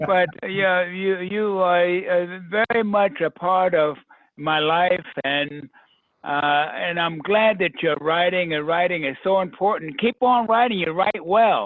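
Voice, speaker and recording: This man talks at a very slow pace with a high pitch. His pitch varies in an ordinary way. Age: 80s+. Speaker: retired professor. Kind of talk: casual chat.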